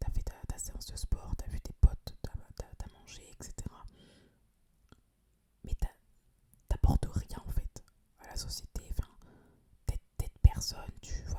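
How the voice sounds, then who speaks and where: Whispering in a relaxed tone, a woman goes at a fairly slow pace with long, frequent pauses and big swings in loudness, the sound dry and close with no echo. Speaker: ASMR creator; social worker. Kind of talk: casual talk to camera, ASMR chat. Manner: relaxed, conversational.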